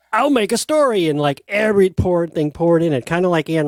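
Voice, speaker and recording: A fairly quick-paced man with an ordinary speaking voice. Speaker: book channel host. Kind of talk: casual chat.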